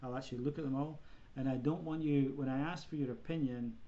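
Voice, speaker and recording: A man of medium pitch talks fairly quickly in a dark, mellow tone with fairly even intonation, and audible room echo surrounds him. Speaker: college professor. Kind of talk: online lecture. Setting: video conference. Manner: fast.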